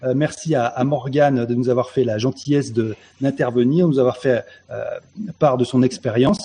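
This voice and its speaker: A man's medium-pitched voice is dark, mellow and somewhat breathy. He keeps a moderate pace and fairly even intonation. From France, Dordogne. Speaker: online show host and writer. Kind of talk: casual chat.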